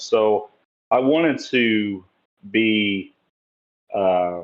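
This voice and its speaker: With an East Tennessee accent, a man speaks at a fairly low pitch with ordinary pitch variation. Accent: Southern US (East Tennessee). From US South, Tennessee (Sevierville). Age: 30s. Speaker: bodybuilder. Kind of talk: podcast interview. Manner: hesitant, many fillers.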